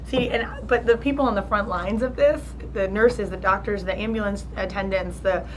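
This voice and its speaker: A woman with an American accent at a fairly quick pace, amid noticeable background noise and audible room echo. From New Jersey. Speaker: charity founder. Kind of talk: interview. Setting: college luncheon. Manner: halting, many fillers and restarts.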